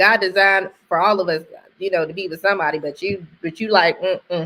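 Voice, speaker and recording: The voice is loud, with a bright, sharp tone, moving at a fairly quick pace. The recording is very clean, with a silent background. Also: woman. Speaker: married woman sharing testimony. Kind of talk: casual testimony chat. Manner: animated.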